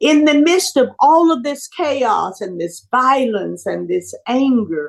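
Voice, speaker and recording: A woman speaks very slowly in an Alabama accent. Her high voice makes very wide pitch swings. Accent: Southern US (Alabama). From US South, Birmingham, Alabama. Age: 70s. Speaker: civil rights activist. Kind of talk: interview.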